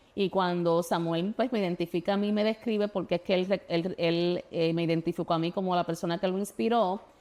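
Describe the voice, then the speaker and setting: Her pace fairly quick with hardly any pauses, a woman speaks in a fairly low pitch with a dark, mellow tone, fairly even intonation and very even loudness, in a very clean recording with a silent background. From Puerto Rico. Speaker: state legislator and former teacher. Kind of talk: interview. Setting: studio. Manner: halting, many fillers and restarts.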